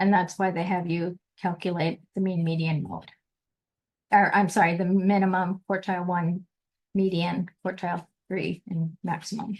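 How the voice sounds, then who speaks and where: Somewhat breathy, a woman's voice sits at a medium pitch and moves at a moderate pace. Her intonation is monotone and flat. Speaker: statistics teacher. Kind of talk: lecture.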